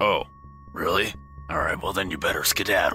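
Over clear background noise, a man puts on a raspy character voice and talks at a moderate pace. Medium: actual play.

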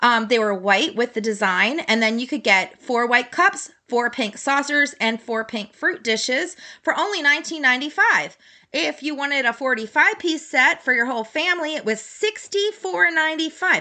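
The voice is raised and projected, with a bright, sharp tone and an American accent. Its pitch swings very widely at a moderate pace. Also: woman, high pitch for a woman. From US, Baltimore. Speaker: podcast host, vintage collector. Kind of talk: solo podcast monologue. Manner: casual, many filler words.

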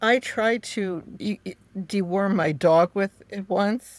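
A woman with an American accent speaks at a medium pitch. The recording is very clean with a silent background, and the sound is dry and close with no echo. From New York. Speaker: author and witchcraft practitioner. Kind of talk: interview.

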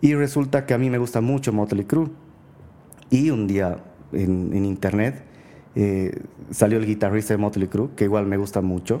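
At a moderate pace, a man speaks with a fairly low pitch, a dark, mellow tone and ordinary pitch variation. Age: 30s. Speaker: gem and mineral collector. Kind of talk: casual chat.

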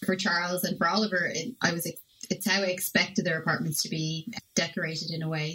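Speaking very fast, a woman uses fairly even intonation. Her voice is fairly low in pitch, with a Dublin accent. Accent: Irish (Dublin). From Ireland. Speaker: podcast guest and TV show reviewer. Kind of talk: casual chat, show review. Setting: remote call from Sardinia.

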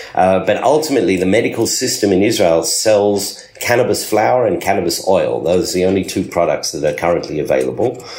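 A man with an Australian accent, fairly low pitch and lively intonation, talking at a fairly quick pace with very even loudness, amid noticeable background noise and audible room echo. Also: hardly any pauses. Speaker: pharmacist and cannabis entrepreneur. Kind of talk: interview.

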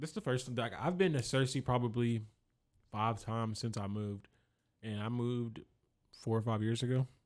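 A man with a normal speaking voice talks at a fairly quick pace. His medium pitch keeps a fairly even intonation. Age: 20s. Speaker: rapper and optician. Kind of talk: casual chat.

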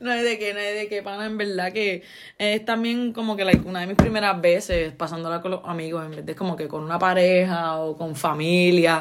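A woman's medium-pitched voice in a Puerto Rican accent, fairly quick, with ordinary pitch variation and big swings in loudness. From Puerto Rico. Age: 20s. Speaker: podcast host. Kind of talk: casual chat.

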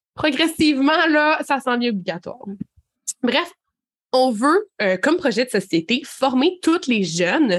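At a fairly slow pace with long, frequent pauses, a woman speaks in a high pitch with very wide pitch swings and very even loudness. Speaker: podcast co-host. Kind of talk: casual chat.

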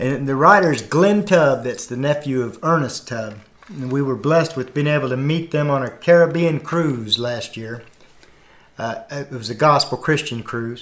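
This man has a normal speaking voice at a fairly high pitch. His pace is moderate and his pitch varies in an ordinary way. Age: 50s. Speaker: gospel singer and former truck driver. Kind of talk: testimony.

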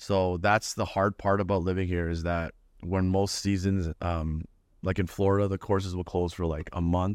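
The speaker has a Toronto accent. The pace is moderate. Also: man, very deep, low pitch for a man. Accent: Toronto Canadian English. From Canada (Toronto, Ontario). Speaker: professional golfer. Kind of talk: casual chat. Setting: in-person studio. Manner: animated.

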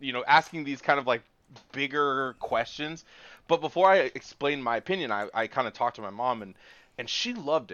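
A man with a normal speaking voice talks at a fairly quick pace in a fairly high pitch. His pitch varies in an ordinary way, while his loudness swings widely. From Washington State. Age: 20s. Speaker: podcast co-host. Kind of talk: casual chat. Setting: remote recording.

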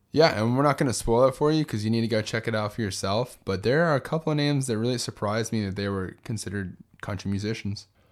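Over a very clean recording with a silent background, a man with an American accent talks at a very fast pace, with hardly any pauses and ordinary pitch variation. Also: medium pitch for a man. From Texas, San Benito (Rio Grande Valley). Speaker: travel podcast co-host. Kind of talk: casual chat. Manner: animated.

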